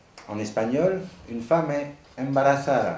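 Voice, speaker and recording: A somewhat breathy man at a medium pitch speaks at a very slow pace with lively intonation, with audible room echo around him. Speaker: psychoanalyst speaking at a conference. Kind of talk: conference talk. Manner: formal, read from text.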